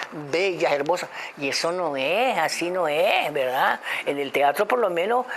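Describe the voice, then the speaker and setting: A woman speaks at a very deep, low pitch with lively intonation. She keeps a moderate pace over noticeable background noise. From Venezuela. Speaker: actress and voice dubbing artist. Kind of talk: interview answer. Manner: hesitant, halting.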